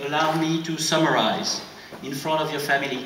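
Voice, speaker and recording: With a French accent, a man speaks at a moderate pace in a fairly high voice, with audible room echo and noticeable background noise. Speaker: French official presenting an award. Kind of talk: award ceremony speech.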